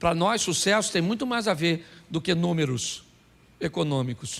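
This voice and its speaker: A man talks with a high pitch and lively intonation. His pace is fairly slow. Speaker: pastor. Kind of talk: sermon.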